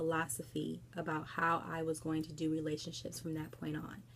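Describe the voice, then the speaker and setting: A soft-spoken woman keeps a moderate pace. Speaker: book vlogger. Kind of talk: casual book review vlog. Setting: at home late at night. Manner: quiet, soft-spoken; hesitant, many fillers.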